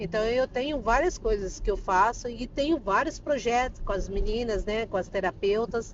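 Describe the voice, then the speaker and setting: A woman has a plain, everyday voice, pitched fairly high. She speaks at a moderate pace with lively intonation. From Brazil, Campo Grande, Mato Grosso do Sul. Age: 40s. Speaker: psychoanalyst and therapist. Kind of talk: casual interview.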